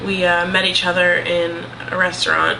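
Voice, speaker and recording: Room echo can be heard as a woman talks through noticeable background noise. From New Hampshire. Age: 20s. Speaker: vlogger. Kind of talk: casual chat. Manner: hesitant, many ums.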